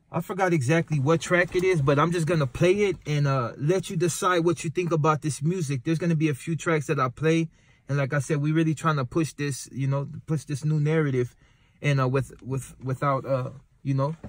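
A man's somewhat breathy voice, fairly even intonation, dry sound with no echo. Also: fairly quick pace. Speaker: channel host introducing music. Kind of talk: casual vlog chat. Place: car. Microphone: phone near.

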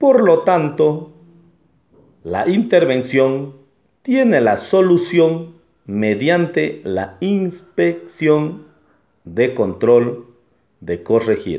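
Against a quiet background, a man speaks at a very slow pace with long, frequent pauses. His pitch is fairly high and swings very widely. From Ecuador. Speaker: law student; legal educator. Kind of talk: class presentation. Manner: formal. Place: home room. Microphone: phone near.

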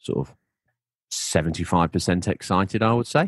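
The speaker has a British accent. The sound is dry and close with no echo, against a quiet background. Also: man. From UK. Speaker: gaming podcast host. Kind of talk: casual chat.

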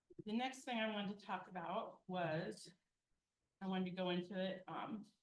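At a moderate pace, a woman of medium pitch speaks somewhat breathily, her loudness very even and her pitch varying in an ordinary way. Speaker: city finance official presenting budget. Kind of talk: budget presentation at council meeting.

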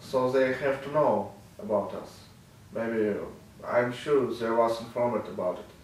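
Delivered at a fairly slow pace in a monotone, flat intonation, the speech has long, frequent pauses and audible room echo. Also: man, medium pitch for a man. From Ukraine, Kharkiv; Ukraine. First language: Russian or Ukrainian. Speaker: war journalist; freed journalist interviewee. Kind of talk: interview testimony. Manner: halting, many fillers. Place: office.

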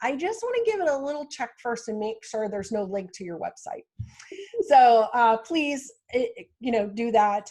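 This woman's voice has a dark, mellow tone. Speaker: marketing consultant hosting a virtual town hall. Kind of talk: virtual town hall wrap-up, casual presentation. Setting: video call. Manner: loud.

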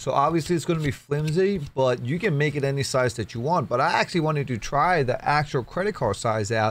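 Talking at a fairly quick pace with hardly any pauses, a man uses a fairly high pitch and lively intonation. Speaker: 3D printing hobbyist YouTuber. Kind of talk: tutorial. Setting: screen recording with voiceover. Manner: casual, chatty. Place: home room. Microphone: studio mic.

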